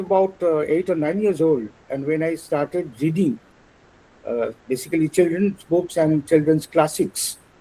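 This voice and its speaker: This man talks at a fairly slow pace in a Bengali accent, his voice high for a man. His tone is dark and mellow, with ordinary pitch variation. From India, West Bengal. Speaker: translator and illustrator. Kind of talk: lecture. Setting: webinar. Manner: halting, many fillers.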